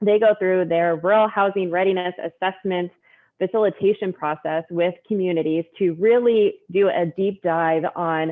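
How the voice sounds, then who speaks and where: At a moderate pace, an unremarkable speaking voice delivers its words with fairly even intonation. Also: woman, medium pitch for a woman. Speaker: state rural development staff. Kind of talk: meeting update. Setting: video call.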